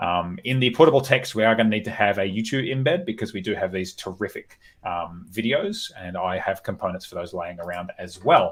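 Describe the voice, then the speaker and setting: This man speaks with an Australian accent at a fairly low pitch. His intonation is lively, and he moves at a fairly quick pace with hardly any pauses. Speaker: developer live-coding on stream. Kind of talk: live coding stream. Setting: live stream. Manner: fast.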